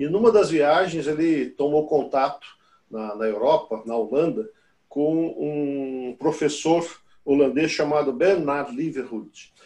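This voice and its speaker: Very slowly, a man speaks in a fairly high register, his pitch shifting in an ordinary way. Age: 60s. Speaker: business consultant. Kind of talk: podcast interview. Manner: halting, many fillers.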